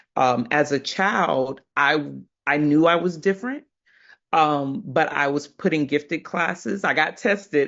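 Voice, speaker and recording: This woman has a very deep, low-pitched voice. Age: 30s. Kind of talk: panel discussion.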